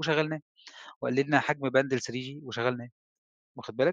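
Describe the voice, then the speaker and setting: A man with a medium pitch and an unremarkable speaking voice talks at a fairly quick pace, recorded in a quiet background with a dry sound and no echo. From Egypt. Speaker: telecom engineer and trainer; trainer. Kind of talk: lecture. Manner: conversational. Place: home room. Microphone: headset.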